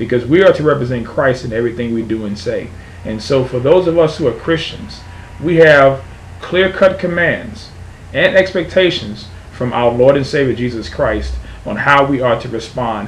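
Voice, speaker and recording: The speech moves at a moderate pace with lively intonation. Light background noise can be heard. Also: man. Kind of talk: religious opinion monologue. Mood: earnest, firm. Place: home room. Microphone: webcam.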